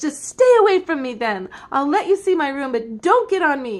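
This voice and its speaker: A woman uses a put-on character voice at a high pitch. Her pitch swings very widely. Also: moderate pace. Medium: read story. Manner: whiny, petulant.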